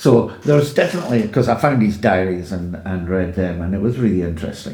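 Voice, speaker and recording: In a room with audible echo, a man with an Edinburgh accent talks at a fairly quick pace and fairly low pitch, with ordinary pitch variation. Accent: Scottish (Edinburgh). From Scotland, Edinburgh. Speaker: podcast guest in recovery from addiction. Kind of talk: personal life story.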